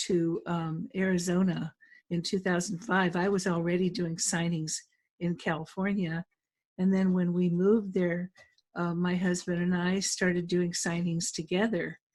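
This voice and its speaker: A somewhat breathy, medium-pitched woman's voice at a fairly slow pace. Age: 70s. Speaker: notary trainer and business owner. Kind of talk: webinar panel introduction. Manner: halting.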